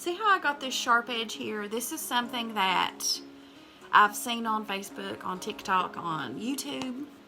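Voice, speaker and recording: A woman with a Southern US accent talks at a moderate pace and fairly high pitch, her intonation lively. Music plays in the background. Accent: Southern American. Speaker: makeup artist. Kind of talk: casual talk to camera, tutorial demo.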